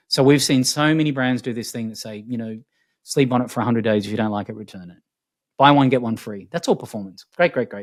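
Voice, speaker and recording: A man with an Australian accent talks at a very fast pace with ordinary pitch variation. The recording is very clean, with a silent background. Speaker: futurist. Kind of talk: interview conversation. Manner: animated.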